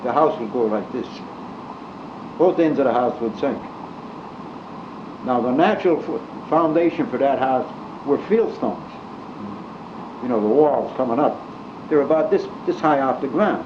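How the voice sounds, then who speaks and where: A man with an American accent, fairly high in pitch, with long, frequent pauses and noticeable background noise. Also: ordinary pitch variation, moderate pace. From Scranton, Pennsylvania. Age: 80s+. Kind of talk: storytelling, casual reminiscence. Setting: home cassette recording, fan noise.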